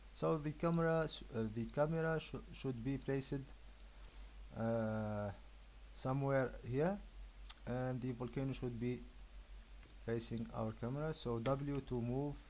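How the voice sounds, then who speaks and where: The pace is fairly slow, with long, frequent pauses. The speaker has a non-native accent. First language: not English. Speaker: 3D graphics tutorial maker. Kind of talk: software tutorial. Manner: hesitant, many filler uhs.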